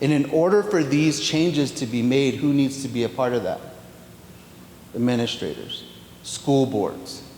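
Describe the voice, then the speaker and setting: A man's fairly high-pitched voice with long, frequent pauses, audible room echo and noticeable background noise. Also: ordinary pitch variation, moderate pace. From New Mexico, Pueblo of Zia. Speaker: education official. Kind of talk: Q&A answer at workshop. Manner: halting.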